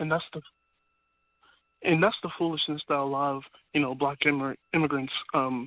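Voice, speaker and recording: A man with an unremarkable speaking voice and an American accent, fairly high in pitch, at a fairly quick pace with fairly even intonation. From US, Sacramento area, Nigerian family. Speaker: caller. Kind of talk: phone-in call.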